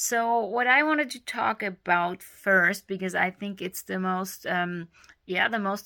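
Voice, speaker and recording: A woman with a German accent talks at a medium pitch in a bright, sharp tone. Her intonation is fairly even, and the recording is very clean with a silent background. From Germany. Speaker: speech therapy video creator. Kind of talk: informal tutorial. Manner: halting, many fillers.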